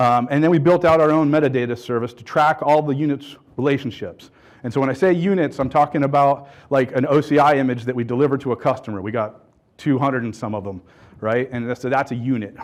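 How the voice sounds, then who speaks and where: Man at a very fast pace, medium pitch, ordinary pitch variation, quiet background. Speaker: conference speaker, software pipeline architect. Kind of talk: conference keynote talk. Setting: stage with audience.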